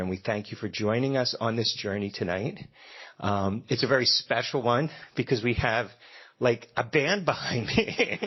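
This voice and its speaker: A slight Philadelphia accent, ordinary pitch variation, and a moderate pace. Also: man. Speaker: event host at a democracy center. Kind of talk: event welcome speech. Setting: stage with audience and live band.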